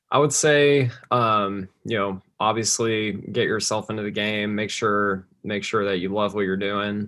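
In an American accent, a man talks at a fairly low pitch. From Texas, Plano near Dallas. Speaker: college golfer. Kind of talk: casual interview.

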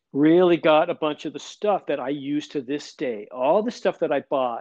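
A man with an unremarkable speaking voice talks at a moderate pace, fairly high in pitch. His pitch varies in an ordinary way, and the sound is dry and close with no echo. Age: 60s. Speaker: drummer and record producer. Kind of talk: casual interview chat. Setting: remote call.

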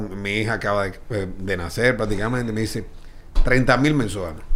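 A man speaks at a fairly quick pace with very wide pitch swings. Room echo is audible. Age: 40s. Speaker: baseball team executive. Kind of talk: casual chat.

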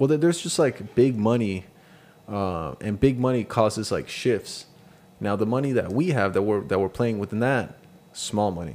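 Speaking at a moderate pace, a man with an ordinary speaking voice uses a fairly low pitch and lively intonation. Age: 30s. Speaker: podcast co-host. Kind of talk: casual chat.

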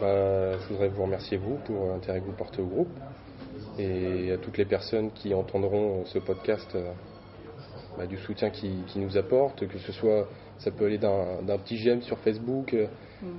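A man's fairly low voice, fairly even in intonation, at a fairly slow pace. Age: 20s. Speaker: metal band musician. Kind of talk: interview. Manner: hesitant, many fillers.

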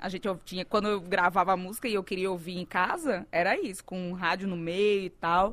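In a northeastern Brazilian accent, a woman with a medium pitch talks at a fairly quick pace in a very clean recording with a silent background. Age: 40s. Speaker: singer. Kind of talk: casual chat. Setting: studio.

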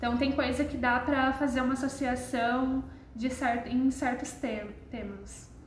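A woman's high-pitched, monotone, flat delivery at a fairly slow pace, with audible room echo and noticeable background noise. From Brazil, Londrina (Paraná). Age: young. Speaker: museum intern, social sciences student. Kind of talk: casual interview.

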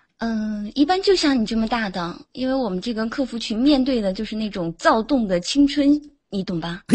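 A somewhat breathy woman at a fairly high pitch, speaking at a fairly quick pace. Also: lively intonation. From Jiangsu, China. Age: 20s. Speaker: caller. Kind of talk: casual chat. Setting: online voice chat room.

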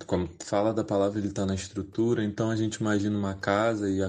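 A man at a fairly low pitch. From Rio de Janeiro, Baixada Fluminense. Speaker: youth church worker and theology student. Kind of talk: recorded contribution on race and faith.

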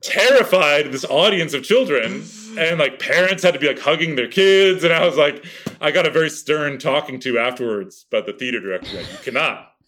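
Fairly quick and animated, a man's voice sits at a fairly high pitch. His intonation is lively. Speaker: actor and impressionist. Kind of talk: casual chat. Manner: loud.

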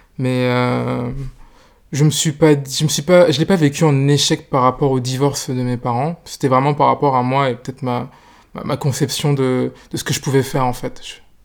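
A man's medium-pitched voice holds fairly even intonation as he talks at a fairly slow pace. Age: 20s. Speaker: interview guest on relationships. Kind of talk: personal interview. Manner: halting, many hesitations.

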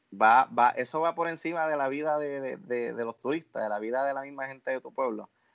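The man's voice sits fairly high, with ordinary pitch variation. He talks fairly quickly. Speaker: film podcast panelist. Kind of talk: casual chat. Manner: animated.

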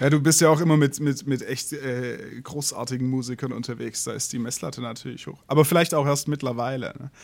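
In an unremarkable speaking voice, a man talks at a fairly quick pace and medium pitch, with fairly even intonation and big swings in loudness. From southern Germany. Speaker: podcast host, musician and photographer. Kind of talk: interview.

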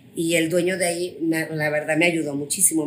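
This woman's voice sits fairly low in pitch. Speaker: finance executive and business owner. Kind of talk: interview. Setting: hotel room.

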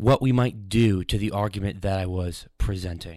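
In a very clean recording with a silent background, a man with an American accent and a plain, everyday voice speaks at a moderate pace, his pitch fairly low with ordinary variation. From New York. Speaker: student radio host. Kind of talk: radio interview and commentary. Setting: radio studio.

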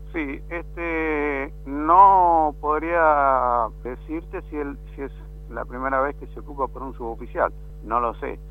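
The pace is very slow, with big swings in loudness. Music sits in the background. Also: man. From Patagonia, Argentina (Puerto Deseado, Santa Cruz). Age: 50s. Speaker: army non-commissioned officer. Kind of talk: radio interview.

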